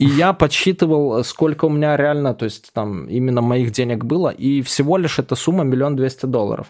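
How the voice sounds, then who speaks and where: At a moderate pace with hardly any pauses and ordinary pitch variation, this is an ordinary speaking voice. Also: man, fairly high pitch for a man. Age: 30s. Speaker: ex-cybercriminal turned blogger and author. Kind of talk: casual interview.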